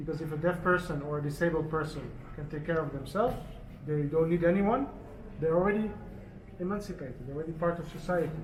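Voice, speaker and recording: A man talks at a very fast pace in a fairly high voice with fairly even intonation. Audible room echo and noticeable background noise surround him. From Netherlands. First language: Dutch Sign Language. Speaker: charity organizer for deaf people. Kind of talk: press conference talk. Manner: halting.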